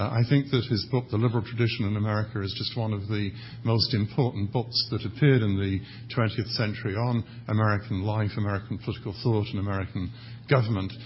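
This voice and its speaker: A fairly low-pitched man speaks very fast, with fairly even intonation and a somewhat breathy quality. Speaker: academic panelist. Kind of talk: conference panel presentation.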